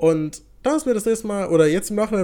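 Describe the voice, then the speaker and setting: Over a silent background on a very clean recording, a man talks at a very fast pace in a high pitch with a dark, mellow tone and lively intonation. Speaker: podcast co-host. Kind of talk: casual chat.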